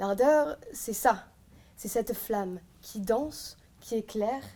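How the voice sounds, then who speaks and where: Delivery is very slow. A dark, mellow tone comes with ordinary pitch variation. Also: woman. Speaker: eloquence contest candidate. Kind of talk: competition speech. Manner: loud.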